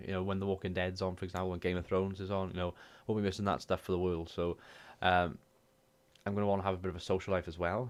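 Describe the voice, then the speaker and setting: On a very clean recording with a silent background, a man with a very deep, low voice speaks very fast in a flat monotone, with a Welsh accent. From Wales. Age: 20s. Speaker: gaming YouTuber and streamer. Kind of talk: casual talk to camera.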